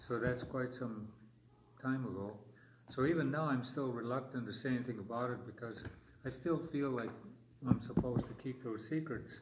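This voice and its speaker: With long, frequent pauses, a man of medium pitch speaks in a somewhat breathy voice and fairly even intonation, with audible room echo around him. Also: moderate pace. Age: 70s. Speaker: elder historian and storyteller. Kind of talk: language class storytelling. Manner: halting.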